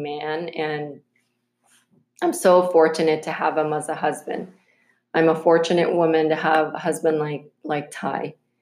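A woman with a very deep, low voice speaks fairly slowly with fairly even intonation. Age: 40s. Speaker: podcast host and entrepreneur. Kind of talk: casual interview and monologue.

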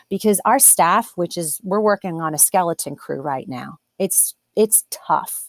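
A woman with a plain, everyday voice at a medium pitch and in an American accent, with lively intonation, a fairly slow pace and hardly any pauses. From Delaware, US. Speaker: restaurant owner. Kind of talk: interview.

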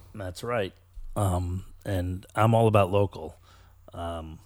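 In an American accent, the speaker goes at a very slow pace with fairly even intonation, recorded very clean with a silent background. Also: man. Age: 50s. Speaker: podcast host. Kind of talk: casual interview chat. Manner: halting, many fillers.

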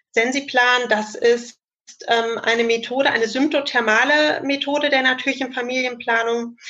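Her tone bright and sharp, a woman talks in a high pitch with fairly even intonation. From Germany, Cologne. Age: 30s. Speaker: family planning counsellor and trainee midwife. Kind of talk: expert interview explanation. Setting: video call.

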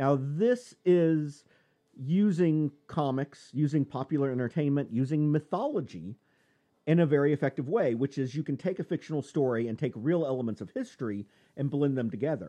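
A man with a fairly high pitch and a dark, mellow tone at a moderate pace, ordinary pitch variation, dry and close sound with no echo, and a quiet background. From US. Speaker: comics podcast host playing a mock professor. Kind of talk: casual lecture-style podcast chat. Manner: sardonic.

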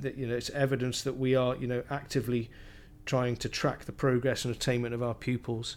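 A man with a Cardiff accent talks at a fairly quick pace, medium in pitch and in a monotone, flat intonation, in a very clean recording with a silent background. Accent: Welsh (Cardiff). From South Wales (Cardiff). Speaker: primary school teacher. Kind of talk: interview. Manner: halting.

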